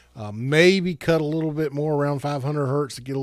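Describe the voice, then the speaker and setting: A man with a normal speaking voice talks fairly quickly at a fairly high pitch, his intonation fairly even. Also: very clean recording, silent background. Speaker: tech reviewer. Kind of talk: tutorial. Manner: casual, with many fillers.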